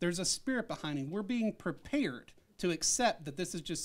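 A man with an American accent, high-pitched and talking at a very fast pace. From Arkansas, US South. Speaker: science professor. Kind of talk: interview.

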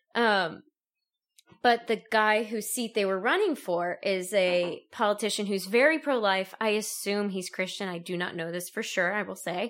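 Recorded very cleanly against a silent background, a woman with an ordinary speaking voice talks at medium pitch and a moderate pace. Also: ordinary pitch variation. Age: 20s. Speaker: law student. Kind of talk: casual chat.

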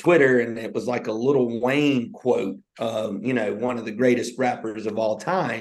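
Amid audible room echo, a man talks at a moderate pace with a medium pitch and ordinary pitch variation. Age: 30s. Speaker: podcast co-host, teacher and football coach. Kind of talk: motivational casual chat. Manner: animated.

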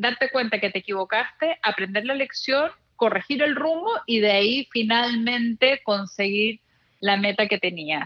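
Someone with a normal speaking voice talks at a fairly slow pace with ordinary pitch variation, in a dry, close sound with no echo. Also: woman. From Chile. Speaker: journalist and blogger. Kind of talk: interview conversation.

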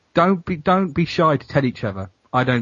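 The man's voice comes out somewhat breathy. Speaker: podcaster. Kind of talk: casual chat.

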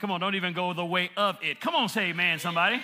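Noticeable background noise sits behind a man's raised, projected voice. His tone is animated. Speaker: preacher. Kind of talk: sermon. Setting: church. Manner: animated, call-and-response preaching that seeks amens from the congregation; impassioned, building intensity and rhythmic emphasis, with repeated phrases.

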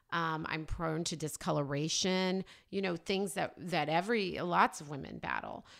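A woman with an American accent and vocal fry, fairly low in pitch, with ordinary pitch variation at a moderate pace, in a very clean recording with a silent background. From Oklahoma, US. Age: 40s. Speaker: skincare brand founder. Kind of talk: interview.

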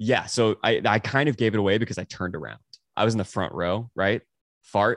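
A plain, everyday voice with an American accent and ordinary pitch variation moves at a fairly quick pace. The sound is dry and close with no echo, over a quiet background. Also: man, fairly low pitch for a man. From Texas (Dallas). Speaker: musician and producer. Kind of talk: casual chat.

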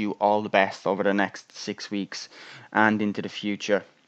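A man with an Irish accent speaks at a fairly low pitch, recorded dry and close with no echo. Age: 20s. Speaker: podcast host. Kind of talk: solo monologue on mental health.

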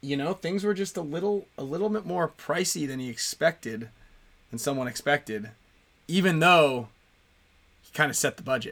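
A man speaks at a moderate pace with a bright, sharp tone. His pitch sits fairly high and his intonation is lively. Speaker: podcast host. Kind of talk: casual live chat show.

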